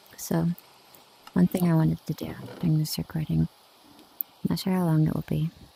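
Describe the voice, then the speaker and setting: Soft-spoken and whispering, a woman comes through a dry, close sound with no echo, though background noise is noticeable. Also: long, frequent pauses, big swings in loudness. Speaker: ASMR streamer. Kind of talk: casual gaming ramble. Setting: mixed reality headset at home.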